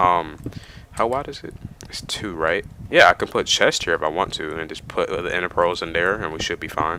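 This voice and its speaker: Noticeable background noise runs under this clip. A man speaks at a fairly quick pace. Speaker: gaming let's play host. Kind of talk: casual gameplay commentary. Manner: rambling, hesitant.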